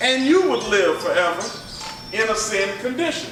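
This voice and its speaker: A moderate pace with very wide pitch swings, audible room echo and music in the background. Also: man. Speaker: pastor. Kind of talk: bible study teaching. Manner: conversational, interactive.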